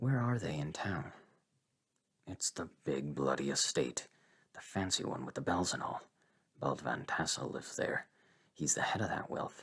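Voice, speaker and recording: A man puts on a character voice with a very deep, low pitch, very wide pitch swings, and long, frequent pauses. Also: moderate pace. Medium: read story. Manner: gruff, scolding.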